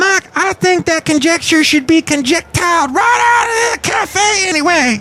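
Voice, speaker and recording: In a put-on character voice pitched extremely high, the speaker moves at a moderate pace. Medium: solo performance. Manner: sassy, teasing.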